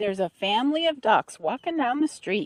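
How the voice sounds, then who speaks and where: A female-sounding, put-on character voice, high in pitch. It moves at a fairly quick pace. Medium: read story.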